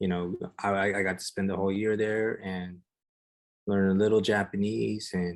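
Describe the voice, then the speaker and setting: A man's very deep, low-pitched voice in a monotone, flat intonation. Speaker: street artist. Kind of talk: casual chat. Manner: soft-spoken.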